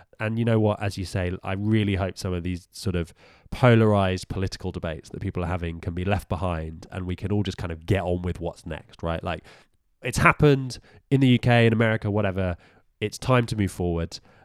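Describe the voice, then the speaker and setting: A very fast delivery in a British accent, with ordinary pitch variation. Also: man, very deep, low pitch for a man, very clean recording, silent background. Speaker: podcast co-host. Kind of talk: casual chat.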